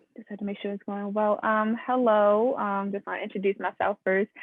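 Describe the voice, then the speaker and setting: A woman's voice in a Baltimore accent. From Baltimore, Maryland. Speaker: student journalist interviewer. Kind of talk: interview. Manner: halting, many fillers.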